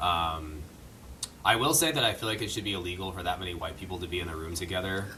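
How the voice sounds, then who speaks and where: A man with a very deep, low pitch, very fast pace and ordinary pitch variation, amid audible room echo and noticeable background noise. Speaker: podcast co-host, musician. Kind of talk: casual chat.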